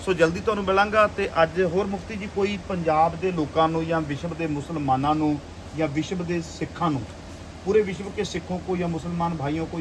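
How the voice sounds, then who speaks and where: A man with a Punjabi accent speaks at a fairly high pitch over noticeable background noise. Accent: Punjabi-accented Hindi. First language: Punjabi (speaking Hindi). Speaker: preacher and video reporter. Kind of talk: field interview and address to viewers.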